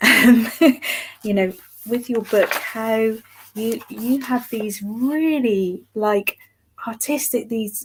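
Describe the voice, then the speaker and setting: In an East Anglian accent, a woman with a fairly high pitch and a somewhat breathy voice speaks at a very slow pace. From East Anglia, England (Lowestoft). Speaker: artist. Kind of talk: interview. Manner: halting.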